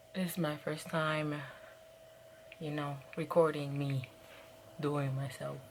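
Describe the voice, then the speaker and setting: A soft-spoken woman with a very deep, low voice talks at a very slow pace in a flat monotone, leaving long, frequent pauses, with audible room echo around her. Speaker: beauty vlogger. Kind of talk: makeup tutorial. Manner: casual.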